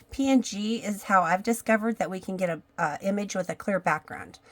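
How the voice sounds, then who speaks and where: At a moderate pace and medium pitch, a woman talks in an unremarkable speaking voice with ordinary pitch variation. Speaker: craft tutorial creator. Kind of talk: tutorial. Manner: casual, with fillers.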